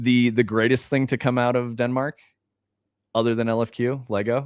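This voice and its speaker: A man talks with an American accent at a moderate pace. His intonation is monotone and flat, and the sound is dry with no echo. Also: medium pitch for a man, quiet background. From United States. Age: 40s. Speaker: game developer livestreamer; game developer streamer. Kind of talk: casual livestream chat. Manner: casual, profane. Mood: relaxed, joking. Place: home room.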